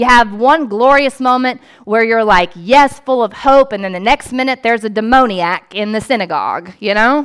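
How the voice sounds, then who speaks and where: This woman speaks with hardly any pauses. Her pitch is fairly high, with ordinary variation. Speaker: priest and pastor. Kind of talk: sermon. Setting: church. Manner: fast.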